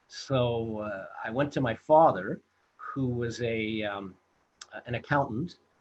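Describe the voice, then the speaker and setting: The speech, in an American accent, moves at a very slow pace. Its pitch varies in an ordinary way. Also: man, medium pitch for a man. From Los Angeles, US. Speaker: film director and producer. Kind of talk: interview storytelling. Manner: halting, many fillers.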